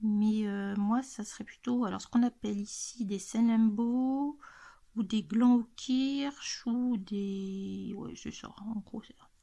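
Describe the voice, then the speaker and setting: Very slowly, a woman speaks in a fairly high, somewhat breathy voice with a dark, mellow tone, fairly even intonation and big swings in loudness. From central France, Loiret. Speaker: YouTuber, adult coloring channel. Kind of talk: casual chat, Q&A tag video. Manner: hesitant, many fillers.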